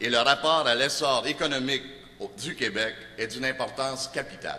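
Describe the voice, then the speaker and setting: The tone is bright and sharp. Pitch varies in an ordinary way at a moderate pace. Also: man. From Montreal, Quebec. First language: Italian (speaking French). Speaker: political candidate. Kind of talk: campaign speech.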